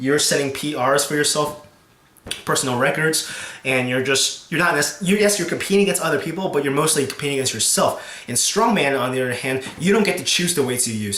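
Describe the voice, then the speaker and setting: The speech moves at a fairly quick pace with lively intonation. Noticeable background noise runs underneath. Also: man, fairly high pitch for a man. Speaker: strongman and powerlifting competitor. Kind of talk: casual talk to camera. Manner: hesitant, stuttering with many fillers.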